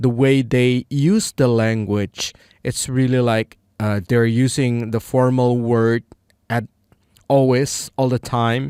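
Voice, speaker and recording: Very slow male speech in an Indonesian accent, medium in pitch with fairly even intonation, the sound dry and close with no echo. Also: very clean recording, silent background. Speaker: English learner vlogger. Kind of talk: casual monologue. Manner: halting, many fillers.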